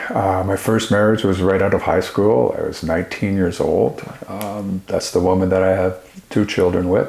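A man speaks in a fairly low pitch with monotone, flat intonation. Noticeable background noise can be heard. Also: moderate pace. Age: 60s. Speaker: author and speaker, former addict. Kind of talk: interview.

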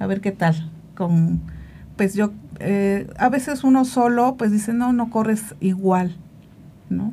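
A woman with a dark, mellow tone speaks at a medium pitch and very slow pace, somewhat breathy, with ordinary pitch variation and long, frequent pauses. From Veracruz, Mexico. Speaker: amateur marathon runner. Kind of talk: casual interview.

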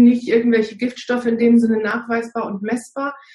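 This woman's voice sits fairly high in pitch with a dark, mellow tone. Her intonation stays monotone and flat. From northern Germany. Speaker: naturopath and fasting coach. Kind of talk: casual interview. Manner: frequent hesitations (ähm).

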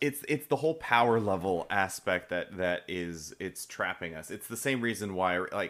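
With lively intonation, a man speaks at a moderate pace in a very deep, low pitch on a very clean recording with a silent background. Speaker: podcast co-host. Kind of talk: casual chat.

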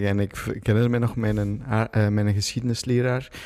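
Fairly even intonation marks this man's ordinary speaking voice, which sits at a fairly low pitch. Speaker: jeans maker and entrepreneur. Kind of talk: casual chat.

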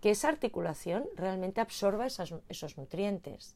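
On a very clean recording with a silent background, a woman with a plain, everyday voice speaks at a moderate pace and medium pitch with lively intonation. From Spain. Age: 50s. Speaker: postural therapist and former dancer. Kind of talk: casual interview.

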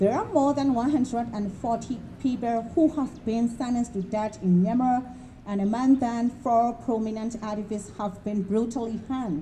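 With noticeable background noise behind her, a woman speaks slowly at a fairly high pitch with ordinary pitch variation. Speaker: rally organizer. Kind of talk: rally speech, formal statement read aloud to a crowd. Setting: outdoor rally, public gathering. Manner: formal, solemn, measured; earnest, firm, condemnatory.

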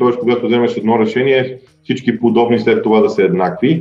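A man talks fairly quickly as noticeable background noise carries on behind him. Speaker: football podcast host. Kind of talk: solo football analysis monologue. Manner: frequent filler sounds and hesitations.

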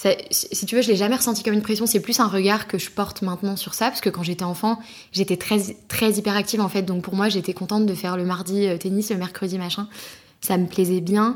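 A woman's flat, monotone intonation at a fairly quick pace. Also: medium pitch for a woman. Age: 20s. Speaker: podcast guest. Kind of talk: casual chat.

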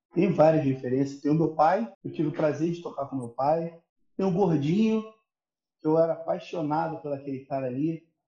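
Long, frequent pauses break up a man's speech at a moderate pace. His voice is fairly high, with ordinary pitch variation. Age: 30s. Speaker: percussionist. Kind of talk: casual chat.

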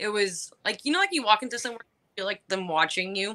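Dry and close with no echo, an unremarkable speaking voice carries ordinary pitch variation. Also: woman. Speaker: club co-host.

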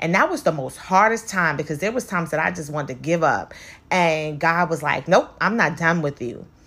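An animated, bright and sharp voice at a fairly quick pace, with ordinary pitch variation. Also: woman, fairly low pitch for a woman. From New York City (Brooklyn). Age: 40s. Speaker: podcast host and cosmetologist. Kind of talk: casual motivational monologue.

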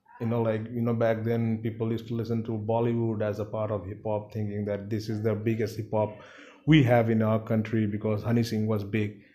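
Speaking fairly quickly with a Bengali accent, a man delivers his words in a flat monotone with a dark, mellow tone. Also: medium pitch for a man. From India, Siliguri (West Bengal). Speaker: rapper. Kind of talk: casual interview chat. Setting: at home.

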